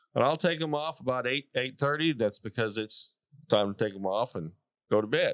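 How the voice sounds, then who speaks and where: This man has a plain, everyday voice at a medium pitch, with lively intonation. The sound is dry and close with no echo. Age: 60s. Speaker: cowboy boot maker, small business owner. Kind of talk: interview answer. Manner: casual, folksy.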